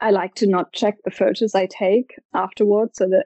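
Using a German accent, a woman speaks at a moderate pace with medium pitch and fairly even intonation. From Germany, Stuttgart. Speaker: photographer. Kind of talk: interview.

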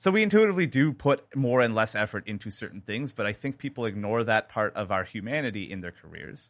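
Against a quiet background, a man with a Canadian accent and medium pitch races along at a very fast pace with hardly any pauses, lively intonation and big swings in loudness. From small-town Canada. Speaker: sound designer and composer. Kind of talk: casual interview chat.

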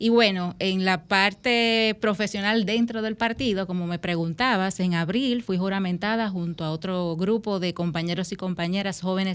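A woman with a normal speaking voice talks at a moderate pace and medium pitch with fairly even intonation. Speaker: politician. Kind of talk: radio interview. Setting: radio studio.

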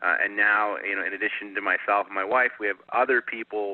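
A normal speaking voice talks at a moderate pace. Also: man. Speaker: managing director. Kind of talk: casual interview chat.

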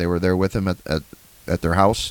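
A man's very deep, low voice with an American accent. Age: 40s. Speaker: podcast host. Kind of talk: casual chat.

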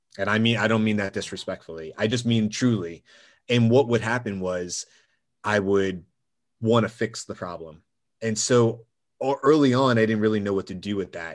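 A man with an American accent has an ordinary speaking voice, fairly low in pitch with ordinary pitch variation. He speaks at a moderate pace on a very clean recording with a silent background. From US South, Georgia. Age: 40s. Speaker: former firefighter and gym owner. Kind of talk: interview conversation.

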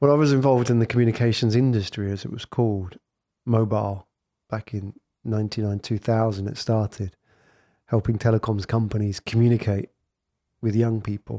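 In a very clean recording with a silent background, a man with an English accent speaks at a fairly quick pace with long, frequent pauses, medium pitch, a dark, mellow tone and fairly even intonation, in a dry, close sound with no echo. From England. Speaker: podcast agency founder. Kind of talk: casual interview chat.

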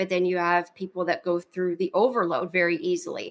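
Recorded very cleanly against a silent background, a woman uses an unremarkable speaking voice at medium pitch, with fairly even intonation and an American accent. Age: 30s. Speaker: brain health coach. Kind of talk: interview.

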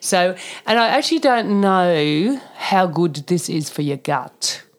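With an Australian accent, a woman speaks in a fairly low pitch using lively intonation. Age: 50s. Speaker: naturopath. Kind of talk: casual chat.

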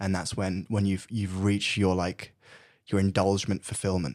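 In a British accent, a fairly low-pitched man speaks at a moderate pace on a very clean recording with a silent background. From UK, Brazilian family. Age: 20s. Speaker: student. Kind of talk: casual chat.

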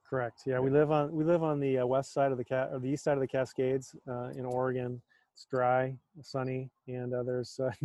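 Fairly quick and monotone, a man talks in flat intonation at a medium pitch. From US Midwest, North Dakota. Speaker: physician and entrepreneur. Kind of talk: interview conversation.

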